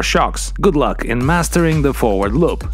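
A man talks at a fairly quick pace, the sound dry with no echo and faint music in the background. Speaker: windsurfing instructor. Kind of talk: tutorial. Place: studio. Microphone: lapel.

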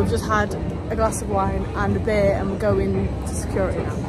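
Loud background noise surrounds a woman's voice. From Manchester, England. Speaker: travel vlogger. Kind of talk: casual vlog talk to camera. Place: station. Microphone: phone near.

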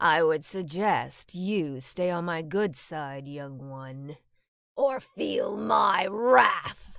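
Using a put-on character voice, a woman speaks very slowly at a fairly low pitch with very wide pitch swings. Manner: menacing.

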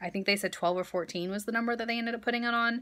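Against a quiet background, a woman speaks with a bright, sharp tone and fairly even intonation. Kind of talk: casual vlog chat, birth story. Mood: calm, reflective storytelling. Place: home room. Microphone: phone near.

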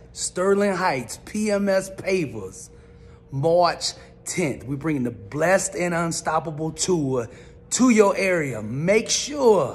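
A high-pitched man at a very slow pace, lively intonation, music in the background. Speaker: motivational speaker. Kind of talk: event promo to audience. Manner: energetic, intense. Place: home room. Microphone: phone near.

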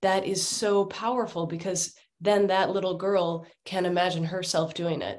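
Against a quiet background, a woman with a medium pitch speaks in a monotone, flat way at a moderate pace. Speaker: education nonprofit worker; speaker. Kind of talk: panel discussion. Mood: earnest, engaged. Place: home room. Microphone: video call.

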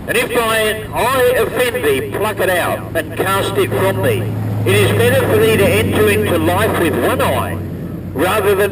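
Over noticeable background noise, a man talks at a fairly slow pace with very wide pitch swings. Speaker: street preacher. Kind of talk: scripture reading aloud. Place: street. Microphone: camera far.

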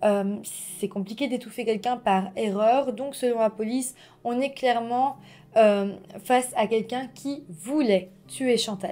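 Dark and mellow in tone, a woman speaks at a very slow pace with ordinary pitch variation. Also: fairly high pitch for a woman. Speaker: true-crime YouTuber. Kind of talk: true-crime narration, scripted storytelling to camera. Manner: calm, measured, storyteller tone with friendly asides. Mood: serious, calm narration. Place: home room.

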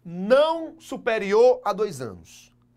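Against a quiet background, a man with a high pitch speaks at a very slow pace, his pitch swinging very widely. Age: 20s. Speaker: law teacher for civil service exams; teacher. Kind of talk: online video lecture; lecture. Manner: casual, lively, frequent 'tá?' tags. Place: classroom.

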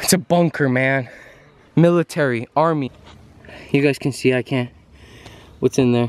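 A man at a moderate pace with lively intonation, a dry sound with no echo and light background noise. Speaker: vlogger. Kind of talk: casual vlog chat. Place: forest. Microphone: phone near.

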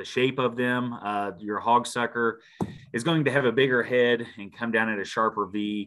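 In an Ozarks accent, a man speaks at a medium pitch and a fairly slow pace. His intonation is fairly even against a quiet background. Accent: Missouri Ozarks rural American. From Missouri Ozarks, Shannon County; Missouri. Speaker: park ranger; presenter. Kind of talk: presentation. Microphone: video call.

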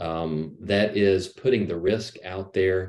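A man's very deep, low voice with a dark, mellow tone, at a fairly slow pace. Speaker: missionary; panelist. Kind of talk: panel discussion. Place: home room. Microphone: video call.

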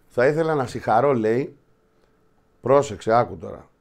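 A man speaks at a moderate pace and medium pitch over a quiet background. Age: 50s. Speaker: show host. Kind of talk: casual football talk show. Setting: studio. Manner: animated. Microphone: webcam.

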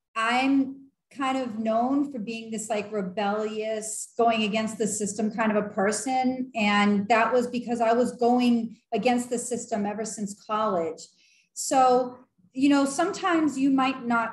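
A woman speaking at a fairly slow pace with ordinary pitch variation, audible room echo, and a quiet background. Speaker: vlogger. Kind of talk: casual vlog chat. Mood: earnest, encouraging. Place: home room. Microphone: webcam.

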